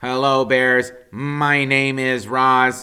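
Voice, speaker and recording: A put-on character voice delivers every line in a monotone, flat intonation. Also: man. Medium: read story. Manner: calm, courteous.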